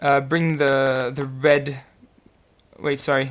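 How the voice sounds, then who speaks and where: A man with a French accent speaks at a medium pitch over noticeable background noise. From France. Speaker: puzzle solver YouTuber. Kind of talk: casual solve commentary. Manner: hesitant, many fillers.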